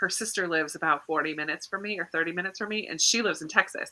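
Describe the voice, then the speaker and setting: Bright and sharp in tone, a woman talks at a very fast pace. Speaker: book channel host. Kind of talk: casual chat.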